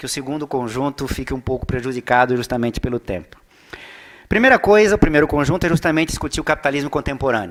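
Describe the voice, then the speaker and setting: Fairly high in pitch, a man's voice moves with ordinary pitch variation. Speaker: economics professor. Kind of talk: lecture. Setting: seminar talk to audience. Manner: animated, talks with his hands.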